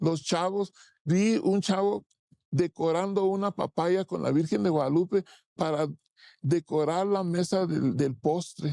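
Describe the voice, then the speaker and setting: Dry and close with no echo, a man's high voice comes at a fairly slow pace with a dark, mellow tone, ordinary pitch variation and very even loudness. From Tijuana, Mexican border. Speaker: muralist. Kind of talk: interview. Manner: halting, many repetitions.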